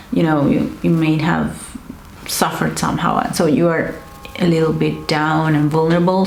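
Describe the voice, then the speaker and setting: A woman talks at a moderate pace while noticeable background noise lingers underneath. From Argentina. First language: Spanish. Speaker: counselor. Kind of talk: educational talk to camera.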